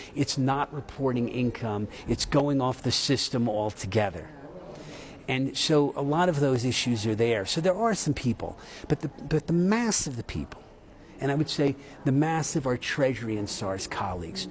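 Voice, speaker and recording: A man with an American accent at a moderate pace, medium in pitch, with lively intonation. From United States. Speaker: tax institute chief executive. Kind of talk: news interview. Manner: animated.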